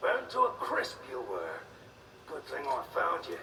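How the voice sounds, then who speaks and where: A man's growling put-on character voice at a moderate pace, with clear background noise. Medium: short film. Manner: cocky, taunting.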